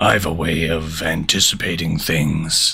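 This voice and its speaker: A man puts on a character voice, very deep and raspy. He speaks at a fairly slow pace in a flat monotone. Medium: read story.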